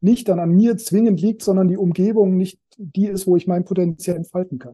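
Speaking at a fairly quick pace, a man with a high pitch keeps his intonation fairly even in a dark, mellow tone. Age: 40s. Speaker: personal development coach. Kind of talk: casual interview.

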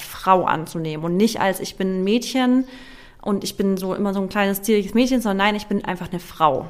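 Speaking fairly quickly at medium pitch, a woman uses a normal speaking voice. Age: 30s. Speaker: content creator and nutrition coach. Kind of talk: casual chat.

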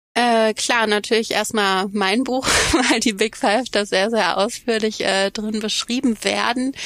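A woman's fairly high voice at a fairly slow pace, hardly any pauses, very even loudness, and noticeable background noise. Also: fairly even intonation. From Germany, Cologne. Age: 30s. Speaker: psychology professor. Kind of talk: interview.

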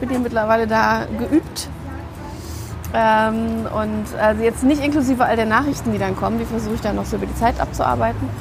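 A woman talking at a fairly quick pace, with audible room echo and music in the background. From Berlin, Germany. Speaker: stylist and author. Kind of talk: casual chat. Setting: outdoor drinks kiosk.

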